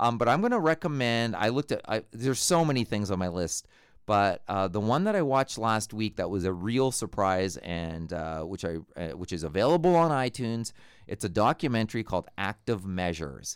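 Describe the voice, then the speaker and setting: Over a silent background on a very clean recording, a man with a fairly low pitch talks at a fairly quick pace, his pitch swinging very widely. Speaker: podcast co-host. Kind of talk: casual chat. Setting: edit suite with mics. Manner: loud.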